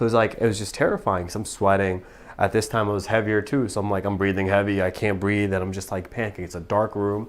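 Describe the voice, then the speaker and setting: A man with an American accent, fairly low-pitched, very fast, monotone and flat, in a very clean recording with a silent background. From Pakistan, moved to the US as a child. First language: Urdu / Punjabi. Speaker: physical therapist. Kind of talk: interview testimony.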